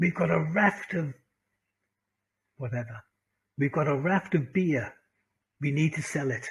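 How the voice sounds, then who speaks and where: A man in a Welsh accent talks at a fairly slow pace, with long, frequent pauses. His voice is somewhat breathy and fairly high-pitched, with ordinary pitch variation. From Wales. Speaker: English teacher and business communication speaker. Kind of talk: lecture to an online class.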